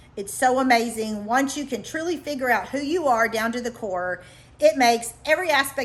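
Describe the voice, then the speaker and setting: A woman speaks with a high voice at moderate pace. Her pitch swings very widely. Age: middle-aged. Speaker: life coach. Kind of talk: vlog monologue. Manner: casual, conversational.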